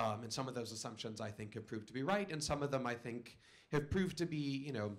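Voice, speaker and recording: Here a man is talking. His pace is very fast. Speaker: conference speaker. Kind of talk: conference talk. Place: hall. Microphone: podium.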